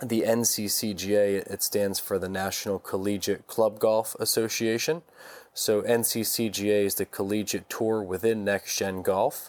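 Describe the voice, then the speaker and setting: A man's plain, everyday voice, fairly low in pitch, with fairly even intonation and a moderate pace, on a very clean recording against a silent background. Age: 30s. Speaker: golf company founder and CEO. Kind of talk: interview.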